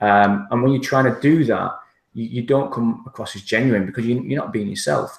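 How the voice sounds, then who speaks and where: This man has a strong northern English accent. He talks fairly quickly at medium pitch. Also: ordinary pitch variation. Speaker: internet marketer. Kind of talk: interview.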